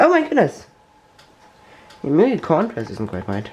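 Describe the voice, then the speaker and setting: A man's voice over noticeable background noise. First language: German. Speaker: tech YouTuber. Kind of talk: tutorial. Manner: halting.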